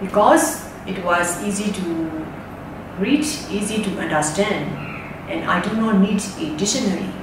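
Noticeable background noise and audible room echo around a woman talking at a fairly slow pace. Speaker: reader discussing a storybook. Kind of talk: book talk, retelling and personal opinion. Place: home room.

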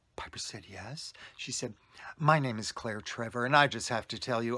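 A man's bright, sharp tone at a moderate pace, with ordinary pitch variation, against a quiet background. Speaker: storyteller. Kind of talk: casual vlog storytelling. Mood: warm, animated anecdote. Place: home room. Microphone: phone near.

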